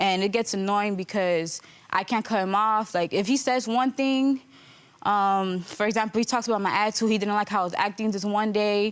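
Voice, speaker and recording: A woman speaks at a moderate pace and medium pitch, her loudness very even and her intonation fairly even. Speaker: litigant on a court show. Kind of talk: courtroom testimony.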